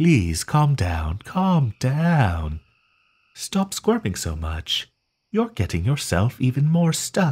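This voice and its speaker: Very slowly, a man performs a put-on character voice at medium pitch with very wide pitch swings. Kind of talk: soothing sleep-aid roleplay. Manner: gentle, reassuring, softly possessive.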